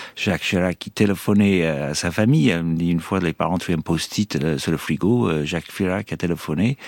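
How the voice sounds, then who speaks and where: Very deep and low in pitch, a man speaks with an Irish accent and hardly any pauses. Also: ordinary pitch variation, moderate pace, dry, close sound with no echo. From Ireland. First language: English (speaking French). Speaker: former hostage. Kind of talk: interview testimony. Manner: halting.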